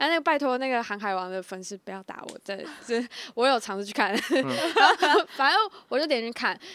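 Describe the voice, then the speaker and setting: Talking at a fairly quick pace, a woman with a high pitch makes very wide pitch swings and big swings in loudness. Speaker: podcast co-host, university student. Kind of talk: casual chat.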